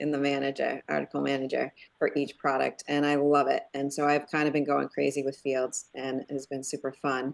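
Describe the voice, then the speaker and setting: Speaking at a fairly quick pace against a quiet background, a woman with a northeastern US accent uses a very deep, low pitch. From Connecticut, northeastern US. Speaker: web developer, user group organizer. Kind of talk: casual online meeting chat. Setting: video call.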